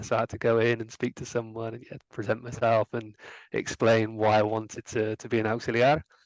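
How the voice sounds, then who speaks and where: A man with a West Country accent speaks at a medium pitch and moderate pace, in a dry, close sound with no echo against a quiet background. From England, Gloucestershire. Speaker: former language assistant, account manager. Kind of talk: interview. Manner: hesitant, many fillers.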